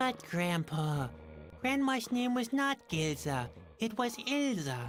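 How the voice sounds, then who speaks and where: With clear background noise, someone does a put-on character voice at a fairly high pitch, swinging very widely in pitch at a fairly slow pace. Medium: video game. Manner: glum, deadpan.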